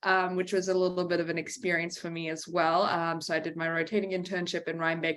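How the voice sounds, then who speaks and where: A woman at a fairly low pitch and moderate pace with a slight Australian accent, in a very clean recording with a silent background. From Australia, Brisbane. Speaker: veterinarian. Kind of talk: lecture. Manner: many fillers (um).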